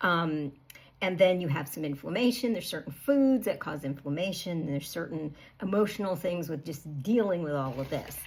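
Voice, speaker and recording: Her intonation is lively and her voice somewhat breathy. This woman's pitch is fairly low for a woman. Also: moderate pace. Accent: American. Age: 60s. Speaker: health coach. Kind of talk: casual talk to camera. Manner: conversational with fillers.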